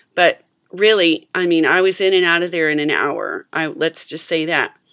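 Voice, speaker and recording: At a moderate pace, a woman talks in a normal speaking voice, fairly low in pitch with fairly even intonation. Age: 40s. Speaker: adult braces patient. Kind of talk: casual talk to camera.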